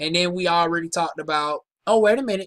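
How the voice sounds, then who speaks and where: A woman with a Southern US accent speaks at a medium pitch in a bright, sharp tone, with ordinary pitch variation and a dry, close sound with no echo. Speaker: aesthetician. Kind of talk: casual product review. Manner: casual, halting.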